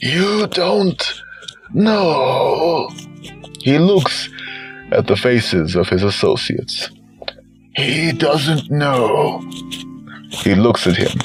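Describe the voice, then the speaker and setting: With faint music in the background, a man puts on a hoarse character voice at a fairly high pitch, speaking very slowly. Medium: read story.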